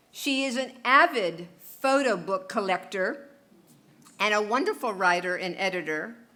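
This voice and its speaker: With audible room echo behind her, a woman at a medium pitch speaks fairly slowly with lively intonation. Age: 70s. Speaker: photographer. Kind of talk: speech to a concert audience; reading aloud. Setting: stage with audience.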